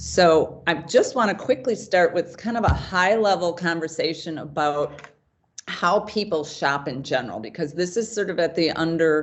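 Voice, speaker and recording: With lively intonation, a woman speaks at a moderate pace in a fairly low pitch. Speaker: retail design consultant. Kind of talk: webinar presentation.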